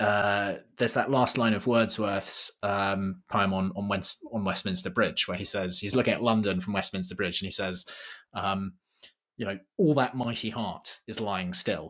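With an ordinary speaking voice, a man speaks at a moderate pace and fairly low pitch with fairly even intonation, in a very clean recording against a silent background. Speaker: podcast host. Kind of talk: interview, introduction then conversation.

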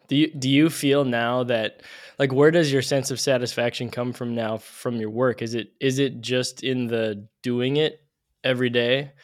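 At a moderate pace and with fairly even intonation, the speech comes through on a very clean recording with a silent background. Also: man, medium pitch for a man. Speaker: podcast host. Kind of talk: casual interview conversation. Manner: halting, self-conscious, jumbled.

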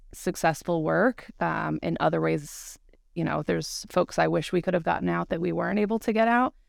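In an American accent, a woman speaks on a very clean recording with a silent background. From upstate New York. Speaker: civil rights attorney. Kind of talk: casual chat.

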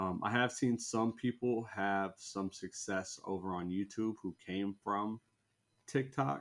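A man speaks very slowly with a Midwestern American accent. His pitch is fairly low, with ordinary variation. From US Midwest (Indiana). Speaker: sneaker content creator and tennis coach. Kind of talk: casual chat. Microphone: very close to the camera.

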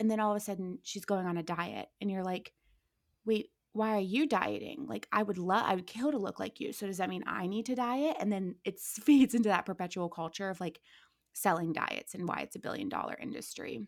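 In an ordinary speaking voice with an American accent, the speaker moves at a fairly quick pace with lively intonation, on a very clean recording with a silent background. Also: woman, medium pitch for a woman. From Ohio, US Midwest. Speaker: entertainment industry worker and social media creator. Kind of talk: casual chat.

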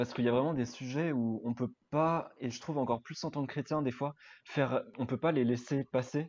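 An ordinary speaking voice from a man at a fairly quick pace, with ordinary pitch variation. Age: 20s. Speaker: project manager, student ministry member. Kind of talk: casual chat.

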